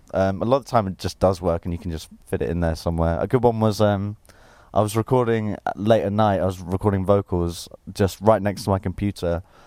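A man's dark, mellow voice with an English accent and fairly even intonation, in a very clean recording with a silent background. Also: fairly low pitch for a man, fairly quick pace. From England. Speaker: musician. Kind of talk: interview.

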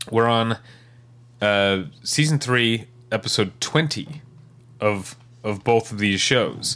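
Speaking very slowly with long, frequent pauses, a man keeps a medium pitch, ordinary pitch variation and very even loudness. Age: 40s. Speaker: podcast co-host. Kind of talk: casual chat.

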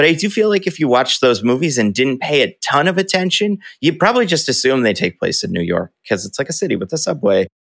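Speaking fairly quickly with an American accent, a man shows vocal fry. The sound is dry and close, with no echo. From northeast New Jersey, Bergen County. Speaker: YouTuber and video editor. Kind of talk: interview. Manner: casual.

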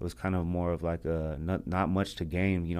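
Very deep and low, a man's dark, mellow voice moves at a moderate pace with ordinary pitch variation on a very clean recording with a silent background. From US, grew up in the projects. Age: 30s. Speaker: professional fighter. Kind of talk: interview. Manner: casual, filler-heavy.

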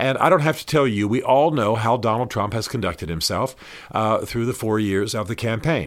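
In a normal speaking voice, a man talks fairly fast at a medium pitch, his pitch moving in an ordinary way. The background is silent and the recording very clean. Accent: American. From US South (Georgia). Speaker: podcast host, author and faith commentator. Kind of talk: solo commentary monologue. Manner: earnest, conversational.

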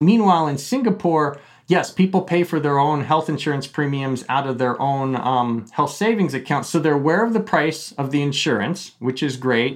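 Against a quiet background, a man with a normal speaking voice talks at a fairly high pitch and a moderate pace, with ordinary pitch variation and hardly any pauses. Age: 40s. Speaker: economist. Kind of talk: interview.

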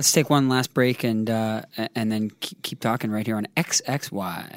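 This is a man with an unremarkable speaking voice, medium in pitch with ordinary pitch variation, going at a fairly slow pace. The sound is dry and close with no echo, on a very clean recording with a silent background. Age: 20s. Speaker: podcast host and musician. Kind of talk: casual interview chat. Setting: studio.

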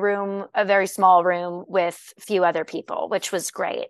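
The woman talks at a fairly slow pace, and the sound is dry and close with no echo. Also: quiet background. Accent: American. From US Southwest. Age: 30s. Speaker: actress. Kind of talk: casual interview. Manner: animated.

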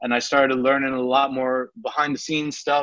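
Speaking at a fairly quick pace, a man with a New York accent has a fairly high pitch. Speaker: pro wrestler and wrestling coach. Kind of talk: interview. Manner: casual, hesitant with fillers.

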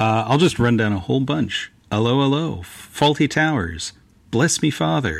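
A man's medium pitch with very wide pitch swings, at a moderate pace. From North America. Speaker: podcast panelist. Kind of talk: casual chat.

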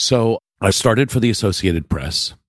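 A man talks with an American accent and lively intonation. The sound is dry and close, with no echo. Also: very clean recording, silent background. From New York, Westchester County. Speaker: photographer. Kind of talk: interview.

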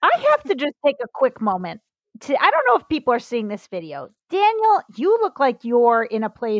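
A woman speaks at a moderate pace with very wide pitch swings and big swings in loudness. The sound is dry and close, with no echo. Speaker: comedian. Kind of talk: casual chat. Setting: video call. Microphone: bad internet connection.

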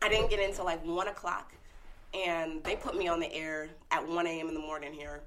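A woman with an American accent speaks at a fairly low pitch and a fairly quick pace. Her intonation is fairly even, with noticeable background noise behind her. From California. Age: 20s. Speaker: radio personality. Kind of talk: casual chat. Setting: studio.

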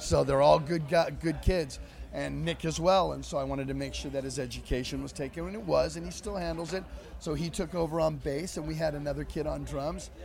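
A man talks fairly quickly, and room echo can be heard around his voice. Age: 50s. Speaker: metal band singer. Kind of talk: casual interview chat. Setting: backstage tent at a music festival.

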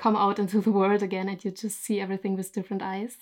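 The recording is very clean, with a silent background. A woman with a German accent speaks at a medium pitch. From Germany. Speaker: YouTube storyteller and photographer. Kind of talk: casual interview.

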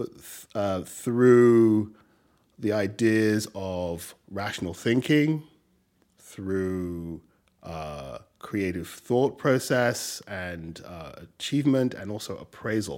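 In a very clean recording with a silent background, a man with a fairly low voice speaks at a very slow pace, his loudness swinging widely. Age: 50s. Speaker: design firm partner and professor. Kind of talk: casual interview conversation. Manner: thoughtful, hesitant with fillers.

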